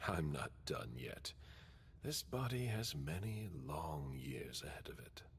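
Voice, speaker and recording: A man performs a put-on character voice pitched very deep and low. He delivers it at a fairly slow pace. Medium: video game. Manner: curt, controlled.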